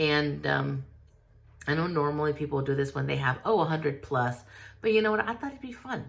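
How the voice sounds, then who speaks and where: A woman speaks with a very deep, low pitch. Her pitch swings very widely. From US, Mexican-American. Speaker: artist vlogger. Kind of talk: casual Q&A vlog. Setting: studio. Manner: casual, many fillers.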